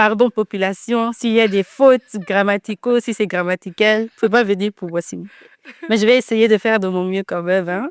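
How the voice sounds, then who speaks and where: At a moderate pace, a woman with a slight Dutch accent talks in a fairly high pitch and fairly even intonation, the sound dry and close with no echo. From Netherlands. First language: Dutch (speaking French). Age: 20s. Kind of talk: podcast interview. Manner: hesitant, many fillers.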